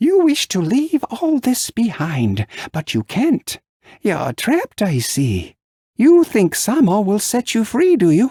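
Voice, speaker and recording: A man's put-on, cackling character voice, high in pitch, at a fairly slow pace. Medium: read story. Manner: sly, knowing.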